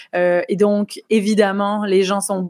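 On a very clean recording with a silent background, a woman speaks at a medium pitch. Her intonation is fairly even. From France, Nice. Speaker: YouTuber, comedian and author. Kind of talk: interview.

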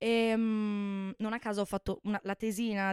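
The recording is very clean, with a silent background and a dry, close sound free of echo. The voice is monotone and flat, moving at a moderate pace. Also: woman. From Veneto, Italy (Bassano del Grappa). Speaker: former university student. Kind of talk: casual chat.

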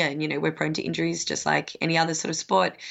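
Talking at a very fast pace, a woman with an Australian accent uses a very deep, low pitch and vocal fry. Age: 30s. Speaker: professional pole dancer and coach. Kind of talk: casual interview.

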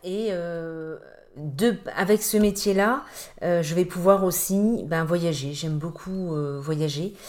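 With a fairly low pitch, this woman's voice rises and falls with ordinary pitch variation. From Brittany, Brest. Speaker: real estate agent. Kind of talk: interview. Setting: at the guest's home. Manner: hesitant, many fillers.

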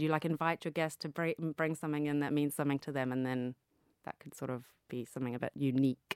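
A woman's very deep, low voice with ordinary pitch variation, dry and close with no echo, on a very clean recording with a silent background. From Zambia. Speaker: influencer marketing executive. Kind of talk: interview. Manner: halting.

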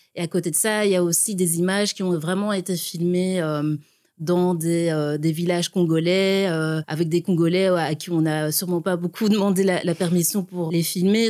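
At a moderate pace, a woman speaks in a fairly low voice with a dark, mellow tone and monotone, flat intonation. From Burundi, then Belgium from age ten. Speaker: visual artist. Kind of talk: interview.

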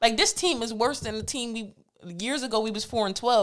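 Her pace is moderate and her pitch fairly high. The woman's intonation stays lively. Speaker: co-host. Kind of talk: casual chat.

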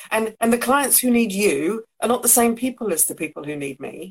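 A woman speaks with an English accent at a moderate pace. Her fairly high voice moves in very wide pitch swings. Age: 50s. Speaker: co-host. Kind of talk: casual chat.

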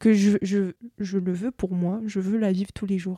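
In a very clean recording with a silent background and a dry, close sound with no echo, a woman speaks at a fairly slow pace with medium pitch, a dark, mellow tone and monotone, flat intonation. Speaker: podcast guest, traveller. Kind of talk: casual chat. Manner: hesitant.

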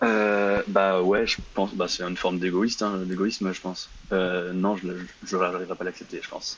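A man with a very deep, low voice talks in a flat monotone at a moderate speed. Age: 20s. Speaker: caller. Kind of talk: casual chat. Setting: live call-in on Instagram. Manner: halting.

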